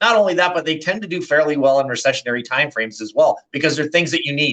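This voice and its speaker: The man's voice has a bright, sharp tone. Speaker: financial portfolio manager. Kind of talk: casual finance discussion video.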